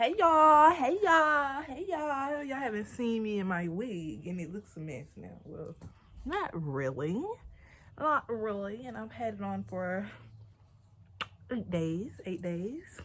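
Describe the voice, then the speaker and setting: A woman's fairly high voice with very wide pitch swings, big swings in loudness and a fairly slow pace. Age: 30s. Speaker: vlogger. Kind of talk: casual vlog. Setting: at home, bedroom. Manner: animated.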